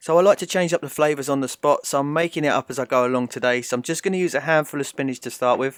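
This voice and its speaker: Speaking very fast with a British accent, a man uses a fairly high pitch with ordinary pitch variation, recorded dry and close with no echo and very cleanly against a silent background. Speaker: home cooking vlogger. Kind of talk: tutorial. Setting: home kitchen.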